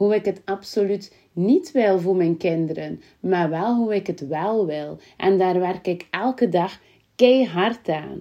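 Speaking very slowly in a West Flemish accent, a woman holds a medium pitch with ordinary pitch variation. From Belgium, West Flanders (Kortemark). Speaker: visibility coach, podcaster. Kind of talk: personal storytelling monologue.

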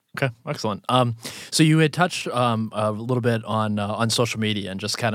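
A man with an unremarkable speaking voice, fairly low in pitch, at a fairly quick pace with ordinary pitch variation, on a very clean recording with a silent background. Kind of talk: college radio dj patter: station ID and song intro. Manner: smooth, upbeat, polished radio-host delivery.

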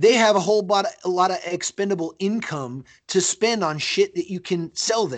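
A man with an American accent speaks at a moderate pace with ordinary pitch variation, in a dry, close sound with no echo and a quiet background. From split childhood between Brazil and the US. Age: 30s. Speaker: mixed martial arts fighter. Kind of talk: casual interview.

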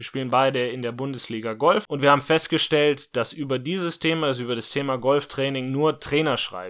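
This man has a plain, everyday voice with a fairly high pitch and ordinary pitch variation, talking at a moderate pace on a very clean recording with a silent background. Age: 20s. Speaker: podcast host and online entrepreneur. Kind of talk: solo podcast monologue.

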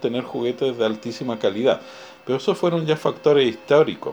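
A man speaks over noticeable background noise. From Chile. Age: 50s. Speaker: museum director. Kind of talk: interview.

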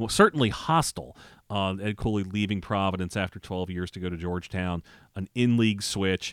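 With an ordinary speaking voice, a man talks at a fairly quick pace in a fairly low pitch with ordinary pitch variation, in a dry, close sound with no echo and a very clean recording with a silent background. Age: 40s. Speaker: college sports writer. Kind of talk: casual chat. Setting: studio.

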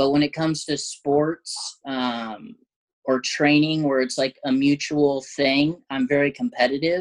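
With an American accent and an ordinary speaking voice, a man speaks at a fairly high pitch and a fairly slow pace, with ordinary pitch variation and a dry, close sound with no echo. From southern Oregon, US. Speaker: MMA fighter. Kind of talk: casual interview.

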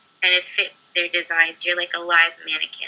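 A woman with an American accent. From California. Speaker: aspiring performer and model, university student. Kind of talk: casual interview chat.

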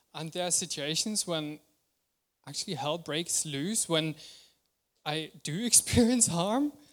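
In a very clean recording with a silent background, a man with a high pitch speaks fairly slowly, pausing long and often, with ordinary pitch variation. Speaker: preacher. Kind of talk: sermon. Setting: church.

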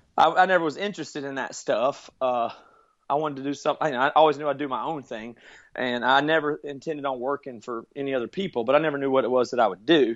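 A very fast-talking man, fairly high in pitch, with ordinary pitch variation. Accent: American. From US South, rural South Carolina. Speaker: musician and podcast producer. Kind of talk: interview.

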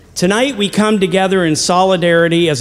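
High-pitched male speech with clearly audible background noise. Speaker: chapel host welcoming audience. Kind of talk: welcome speech.

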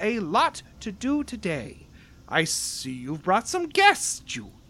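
A put-on character voice, female-sounding and fairly high-pitched, at a fairly slow pace. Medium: actual play. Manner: warm, enthusiastic, motherly.

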